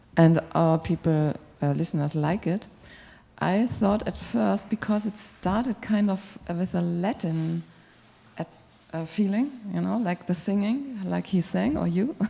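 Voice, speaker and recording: In a German accent, a woman speaks at a fairly slow pace with lively intonation and a fairly low pitch. Her tone is dark and mellow, and somewhat breathy. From Germany. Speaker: radio music programmer. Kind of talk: panel feedback discussion. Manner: halting.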